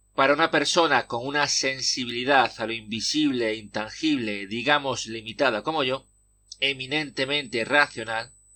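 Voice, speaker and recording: Here is a man with an ordinary speaking voice at medium pitch. The recording is very clean, with a silent background. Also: moderate pace. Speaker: podcaster. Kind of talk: personal essay podcast narration.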